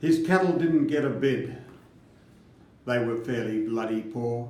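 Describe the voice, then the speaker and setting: A man's dark, mellow tone at a very slow pace. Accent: Australian. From Australia. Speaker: farmer. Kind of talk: poetry reading.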